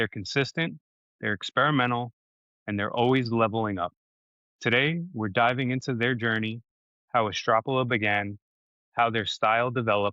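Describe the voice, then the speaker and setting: This man has a slight New York accent and a medium pitch with ordinary pitch variation. He talks at a moderate pace with long, frequent pauses. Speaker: podcast host. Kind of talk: interview. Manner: scripted intro reading.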